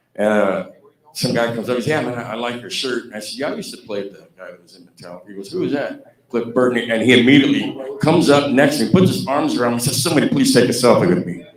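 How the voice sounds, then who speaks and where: Lively intonation and big swings in loudness mark this man's medium-pitched voice at a very fast pace. Audible room echo is present. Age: 60s. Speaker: former band guitarist. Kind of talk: anecdote-telling at fan celebration.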